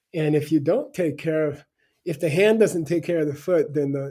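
A man's fairly high, somewhat breathy voice with an American accent, a dark, mellow tone, fairly even intonation and a moderate pace. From US, Arizona. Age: 60s. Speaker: author and spiritual teacher. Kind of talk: interview.

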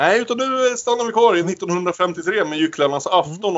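Swinging very widely in pitch, a man talks at a moderate pace. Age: 30s. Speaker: podcast host. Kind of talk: casual chat.

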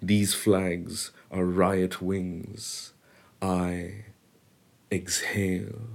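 Very deep and low, a man's voice moves at a very slow pace with fairly even intonation. Long, frequent pauses break up his speech. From India, Bombay. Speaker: poet. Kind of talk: poetry reading.

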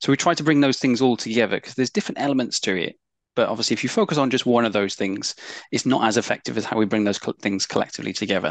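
A man talks at a very fast pace in a medium pitch with ordinary pitch variation. The sound is dry and close with no echo, over a quiet background. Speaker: customer vulnerability lead. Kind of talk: interview. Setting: remote from home. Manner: emotionally expressive.

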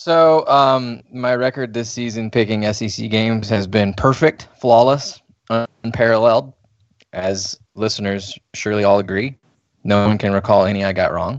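A man with an ordinary speaking voice talks at a moderate pace and a fairly low pitch. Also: ordinary pitch variation. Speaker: podcast host, college football writer. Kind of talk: casual sports banter podcast.

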